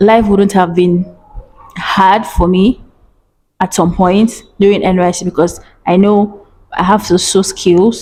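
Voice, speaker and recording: A woman with a Nigerian accent speaks fairly slowly at a medium pitch, her dark, mellow tone held at a very even loudness, with fairly even intonation and long, frequent pauses. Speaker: vlogger. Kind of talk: casual advice vlog.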